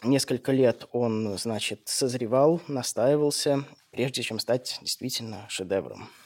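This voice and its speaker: Speaking very slowly at a medium pitch with ordinary pitch variation, a man is heard in a dry, close sound with no echo, in a very clean recording over a silent background. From St. Petersburg, Russia. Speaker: radio host. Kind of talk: scripted narration. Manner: formal.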